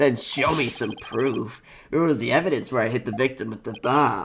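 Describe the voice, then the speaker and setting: A man's put-on character voice at medium pitch and a moderate pace. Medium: game stream. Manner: jumpy, stammering.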